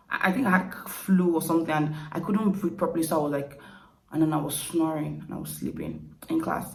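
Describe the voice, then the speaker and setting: A woman with a Nigerian accent and fairly low pitch, at a fairly quick pace with fairly even intonation, plus audible room echo and noticeable background noise. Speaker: YouTuber. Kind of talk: casual Q&A vlog. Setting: at home at night, quiet.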